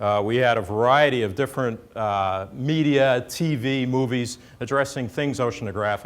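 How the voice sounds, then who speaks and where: In a normal speaking voice with an American accent, a man of medium pitch talks at a moderate pace with ordinary pitch variation and hardly any pauses, on a very clean recording with a silent background. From New York City. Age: 60s. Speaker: oceanographer, government chief scientist. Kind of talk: lecture.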